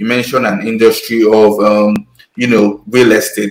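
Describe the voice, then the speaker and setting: A man with a Nigerian accent at a moderate pace, with music in the background. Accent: Nigerian (Yoruba) English. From Nigeria, Lagos and Ondo town. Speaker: podcast co-host. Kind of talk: panel discussion.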